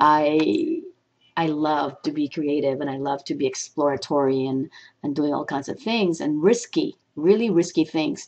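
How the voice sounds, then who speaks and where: A woman with a Filipino accent speaks at a moderate pace in a very deep, low pitch. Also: ordinary pitch variation. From Philippines. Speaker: motivational speaker. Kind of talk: personal reflection vlog. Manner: halting, with fillers.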